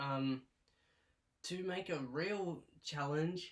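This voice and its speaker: A man mumbles in a fairly high voice. His words are hard to make out. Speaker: YouTuber reviewing his movie collection. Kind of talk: casual vlog talk. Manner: slow and mumbly; stutters, halting.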